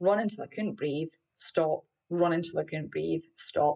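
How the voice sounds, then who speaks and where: A woman speaks with a Scottish accent. Her pitch varies in an ordinary way. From Scotland. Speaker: running mindset coach. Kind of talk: podcast personal story. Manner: casual, candid.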